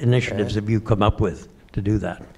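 A man talks at a fairly quick pace with a medium pitch. Noticeable background noise sits under his voice. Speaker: audience member. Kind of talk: audience question.

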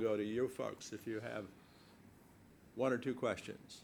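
A man with an ordinary speaking voice, medium pitch, ordinary pitch variation and a moderate pace. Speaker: event moderator. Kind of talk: speaker introduction. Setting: seminar room with audience.

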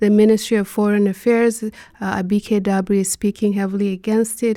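In a very clean recording with a silent background, a woman speaks fairly quickly in a dark, mellow tone with monotone, flat intonation. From Nigeria, Borno State. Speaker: photojournalist. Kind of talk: panel discussion.

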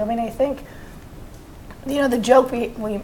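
A woman is talking. Noticeable background noise runs underneath her voice. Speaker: national security correspondent. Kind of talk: panel discussion.

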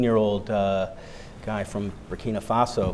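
A man talks with an American accent. Noticeable background noise runs beneath him. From United States. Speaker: humanitarian stabilization official. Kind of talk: panel discussion.

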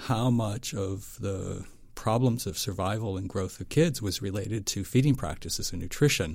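Lively intonation and a somewhat breathy quality mark this voice with an American accent. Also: man. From western Pennsylvania, US. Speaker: foundation nutrition director. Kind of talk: interview.

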